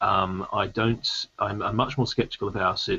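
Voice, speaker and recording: Keeping a moderate pace, a man talks with an Australian accent. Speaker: debate panelist. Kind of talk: debate. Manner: halting, many fillers.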